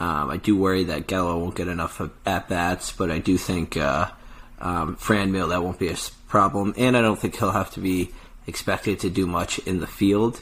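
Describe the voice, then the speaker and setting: A man with a very deep, low pitch talks at a moderate pace, his intonation fairly even. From Chicago. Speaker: podcast host. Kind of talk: casual sports podcast chat. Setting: studio.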